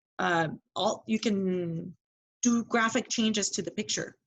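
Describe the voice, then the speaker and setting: A woman's somewhat breathy voice moves at a moderate pace and medium pitch with lively intonation. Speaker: direct sales seller. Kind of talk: casual chat.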